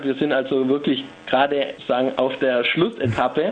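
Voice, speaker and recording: Over noticeable background noise, a man with a Swabian accent speaks at a fairly high pitch. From Stuttgart, Germany. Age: 20s. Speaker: psychology student. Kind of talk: phone interview. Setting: phone call.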